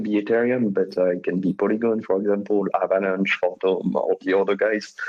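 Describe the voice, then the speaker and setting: Fairly low in pitch, a man speaks with a French accent. His pace is moderate and his pitch variation ordinary. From France. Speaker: crypto developer relations lead. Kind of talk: podcast interview. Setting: online call streamed to a Twitter space.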